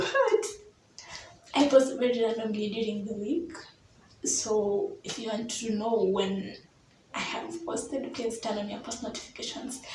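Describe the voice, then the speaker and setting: Fairly slow speech with long, frequent pauses, ordinary pitch variation and big swings in loudness, in audible room echo over noticeable background noise. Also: woman, fairly high pitch for a woman. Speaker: YouTuber. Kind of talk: casual vlog monologue.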